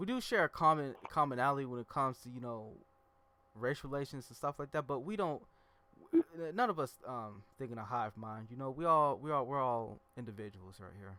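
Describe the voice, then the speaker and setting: A man at a fairly quick pace, bright and sharp in tone, with lively intonation and big swings in loudness. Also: medium pitch for a man. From US Midwest. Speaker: podcast host. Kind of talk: casual chat.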